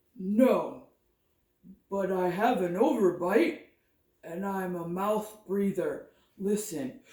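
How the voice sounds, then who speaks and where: Someone speaks in a put-on character voice at a middle pitch and a very slow pace, with long, frequent pauses. A slight echo can be heard. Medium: read story. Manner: polite, formal.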